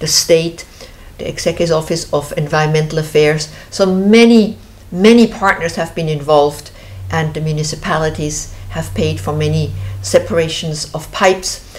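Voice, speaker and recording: Lively intonation colors a woman's very deep, low voice at a moderate pace. Noticeable background noise is audible. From Switzerland. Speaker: show host, founder of river conservation group. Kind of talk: casual interview chat. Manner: halting, many fillers.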